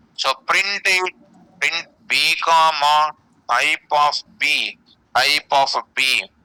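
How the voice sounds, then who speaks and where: A man's fairly high, bright, sharp voice with ordinary pitch variation, in a dry, close sound with no echo. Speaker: programming teacher. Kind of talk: lecture. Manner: slow, deliberate; repetitive.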